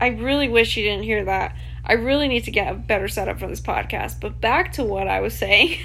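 Audible room echo and noticeable background noise fill the recording. Over them, a woman talks at a fairly quick pace. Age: 20s. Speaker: podcast host. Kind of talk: casual monologue. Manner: casual, rambling with fillers.

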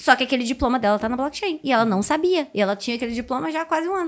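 A woman with a slight Carioca accent speaks at a high pitch with very wide pitch swings. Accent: carioca accent barely noticeable. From Rio de Janeiro, Brazil. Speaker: Web3 content creator. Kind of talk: casual chat.

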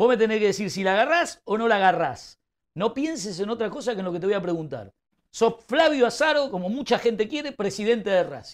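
Quick-paced and animated, a man talks at high pitch with lively intonation in a very clean recording with a silent background. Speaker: football pundit. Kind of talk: heated debate.

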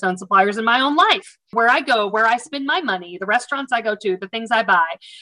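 A woman with an American accent speaks in a bright, sharp tone with lively intonation. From US South. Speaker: supplier diversity practitioner. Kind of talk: casual interview conversation.

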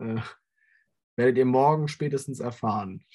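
A man's dark, mellow voice at medium pitch, with fairly even intonation. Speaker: football podcast co-host. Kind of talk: casual chat. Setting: video call.

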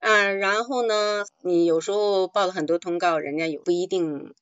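A woman's medium-pitched voice with ordinary pitch variation and hardly any pauses. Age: 60s. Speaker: retiree turned amateur actor. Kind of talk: call-in talk show conversation. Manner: halting, many fillers.

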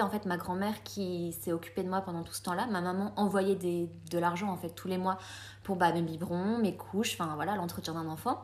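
At a fairly quick pace, a woman talks in a normal speaking voice. Her pitch sits in the medium range and her intonation is fairly even. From France (came from Colombia at age 3). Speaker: podcast guest. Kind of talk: casual chat.

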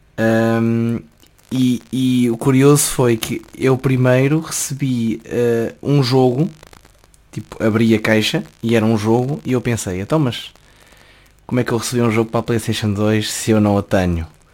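A man with a plain, everyday voice, medium in pitch, fairly even in intonation, at a fairly slow pace. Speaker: journalism student. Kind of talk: casual chat.

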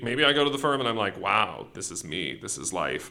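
A man speaks with an American accent in a bright, sharp tone. His intonation is lively, with vocal fry. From US Pacific Northwest, rural Washington State. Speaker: law student. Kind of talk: interview. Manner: fast-paced.

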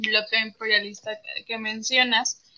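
A woman's normal speaking voice, fairly high in pitch, at a moderate pace. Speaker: co-host. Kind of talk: interview. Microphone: audio problems.

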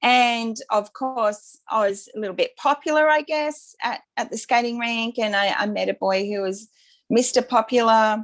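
A woman with an Australian accent, fairly high in pitch and fairly slow in pace. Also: ordinary pitch variation. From Brisbane, Australia. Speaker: birth mother and author. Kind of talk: interview testimony.

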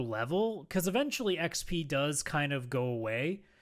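A man with very wide pitch swings on a very clean recording with a silent background. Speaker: gaming podcast co-host. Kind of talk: casual chat.

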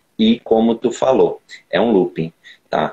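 A man with a medium-pitched, dark, mellow tone speaks at a fairly slow pace. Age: 20s. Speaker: personal trainer and bodybuilder. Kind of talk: casual chat.

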